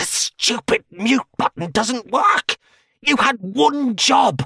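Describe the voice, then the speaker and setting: Using a put-on character voice at an extremely high pitch, a man speaks very slowly with a hissing sound. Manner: hissing, irritated.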